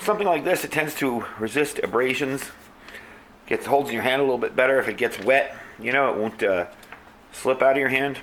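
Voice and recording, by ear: Audible room echo surrounds a man speaking at a fairly quick pace, his medium pitch showing ordinary variation and a fairly bright tone.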